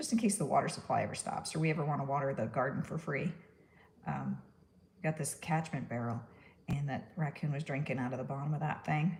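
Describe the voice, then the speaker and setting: A woman's very deep, low voice with vocal fry, ordinary pitch variation and a fairly quick pace. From New York. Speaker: stop-motion artist. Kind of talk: live-stream crafting tutorial. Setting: live stream. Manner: casual, chatty.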